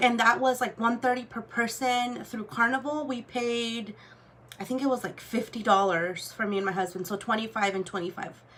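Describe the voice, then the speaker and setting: A woman speaks at a fairly high pitch and a moderate pace. Her pitch varies in an ordinary way. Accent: Spanish. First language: Spanish. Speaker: luxury goods vlogger. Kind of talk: casual chat. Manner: casual, filler-heavy.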